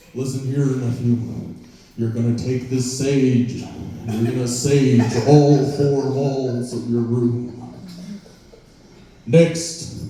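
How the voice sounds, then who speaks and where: In a put-on character voice of medium pitch, a man talks at a very slow pace with long, frequent pauses, and strong echo surrounds him. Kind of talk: stern, lecturing. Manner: serious, instructive.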